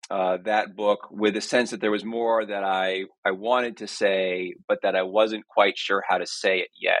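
Intonation is fairly even. Speech moves at a moderate pace. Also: man. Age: 40s. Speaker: author and literature scholar. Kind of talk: interview. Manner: halting, many fillers.

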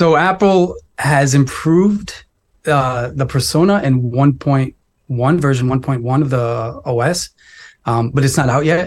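On a very clean recording with a silent background, a somewhat breathy man speaks at a fairly slow pace, his fairly high voice showing ordinary pitch variation and very even loudness. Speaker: tech writer. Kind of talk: casual chat.

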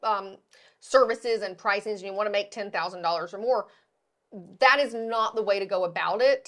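On a very clean recording with a silent background, a woman has a normal speaking voice of medium pitch. She speaks at a moderate pace with fairly even intonation. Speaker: podcast host and hair extension educator. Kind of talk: casual chat. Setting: studio.

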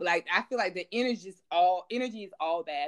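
A woman talks fairly quickly with lively intonation. Her voice comes through dry and close, with no echo. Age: 40s. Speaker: podcast host. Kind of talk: casual chat.

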